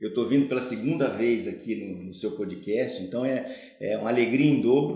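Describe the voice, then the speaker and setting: The man speaks at a fairly slow pace. Echo from the room is audible. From Brazil, Ribeirão Preto (São Paulo state). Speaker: car dealership executive. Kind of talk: podcast interview.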